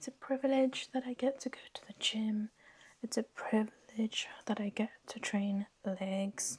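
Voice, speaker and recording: Somewhat breathy, a woman's fairly high voice holds a fairly even intonation. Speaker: lifestyle vlogger. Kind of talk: casual vlog chat. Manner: whispering.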